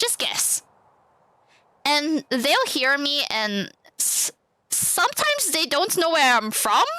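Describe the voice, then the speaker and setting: A woman speaks very slowly in a raised, projected voice, her pitch swinging very widely. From Singapore. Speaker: streamer. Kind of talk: casual chat. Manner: halting, many repeated words.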